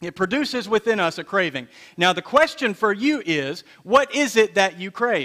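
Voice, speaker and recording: A raised, projected voice with a bright, sharp tone makes very wide pitch swings on a very clean recording with a silent background. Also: man, high pitch for a man, moderate pace. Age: 30s. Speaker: pastor. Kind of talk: sermon. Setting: church.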